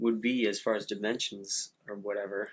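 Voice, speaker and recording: Against a quiet background, a man talks at a fairly slow pace in a relaxed tone. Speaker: artist and video creator. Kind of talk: casual monologue while painting. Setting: home studio, head-mounted camera. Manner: relaxed, musing, with fillers.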